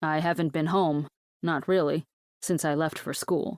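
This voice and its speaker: A woman uses a put-on character voice, very deep and low, with monotone, flat intonation at a moderate pace. The recording is very clean with a silent background and a dry, close sound with no echo. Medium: read story. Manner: guarded, terse.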